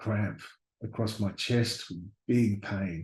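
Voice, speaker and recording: Very slowly, a man speaks in a fairly low, somewhat breathy voice with fairly even intonation. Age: 60s. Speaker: university lecturer sharing near-death experience. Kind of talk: testimony. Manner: halting, with fillers and repeated words.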